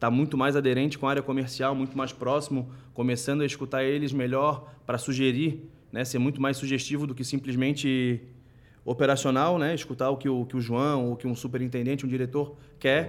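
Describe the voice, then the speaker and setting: A man with a medium-pitched voice talks fairly fast, his intonation monotone and flat. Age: 20s. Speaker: finance executive. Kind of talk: casual chat.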